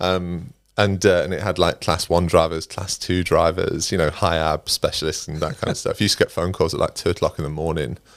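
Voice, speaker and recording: With an East Midlands accent, a man speaks in a very deep, low pitch at a fairly quick pace, with fairly even intonation, hardly any pauses, and a very clean recording with a silent background. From England, Derbyshire (East Midlands). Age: 40s. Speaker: recruitment leader. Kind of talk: podcast interview. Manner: casual, chatty.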